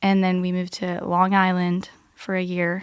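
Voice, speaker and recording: A woman speaks at a moderate pace with an American accent. The recording is very clean, with a silent background. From Norway (Bergen). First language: Norwegian. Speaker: podcast guest. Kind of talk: interview. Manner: casual.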